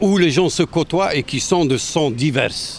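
Noticeable background noise is present. Through it a man talks at a fairly slow pace. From western Algeria. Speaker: municipal election candidate. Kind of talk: interview. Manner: halting.

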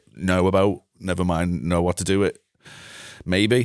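This voice in a Liverpool accent speaks at a fairly slow pace with fairly even intonation, in a very clean recording with a silent background and a dry, close sound with no echo. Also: man. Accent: Scouse (Liverpool). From Liverpool area, England (Bootle). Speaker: music producer and mixing engineer. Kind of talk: casual chat.

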